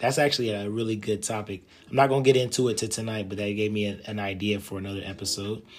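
Music plays behind a man speaking at a fairly quick pace. His intonation stays fairly even. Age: 30s. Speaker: podcast host. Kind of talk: solo podcast monologue. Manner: casual, with frequent fillers.

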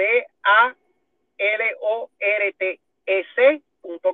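This is a man speaking. His pitch is high. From Puerto Rico. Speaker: firearms instructor and business owner. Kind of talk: casual interview.

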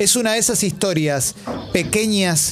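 In a room with audible echo, a man talks at a moderate pace. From Argentina. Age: 40s. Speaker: radio host. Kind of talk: radio interview. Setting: studio.

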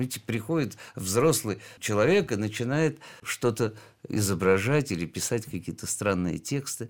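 A man talks in a plain, everyday voice. His pitch is medium and his pace fairly slow. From Georgia. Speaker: heart surgeon and art collector. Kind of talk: radio interview.

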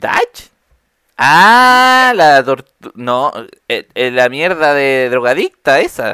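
A Chilean accent at a very slow pace. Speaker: podcast host. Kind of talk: casual chat.

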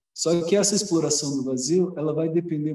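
His dark, mellow tone pairs with a fairly high pitch for a man and ordinary pitch variation. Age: 40s. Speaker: spiritual movement coordinator. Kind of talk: casual chat. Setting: video call.

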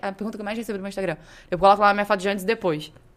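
This woman's voice sits at a medium pitch. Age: 20s. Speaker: medical student and fitness influencer. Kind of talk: casual chat.

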